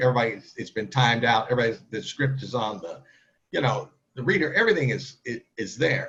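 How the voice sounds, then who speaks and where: A man talks at a very fast pace with an American accent. His medium-pitched voice is somewhat breathy. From US Midwest, St. Louis area (Kirkwood, Missouri). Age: 50s. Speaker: newspaper editor and TV panelist. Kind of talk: interview.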